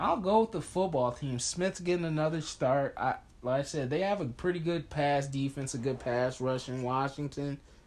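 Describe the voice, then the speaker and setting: A man with an ordinary speaking voice talks at a moderate pace in a fairly high pitch with ordinary pitch variation. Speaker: sports podcast host. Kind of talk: casual sports chat. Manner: casual, opinionated.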